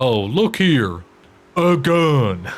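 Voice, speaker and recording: A man performs a put-on character voice. It sits at a medium pitch with very wide pitch swings. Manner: swaggering, confident.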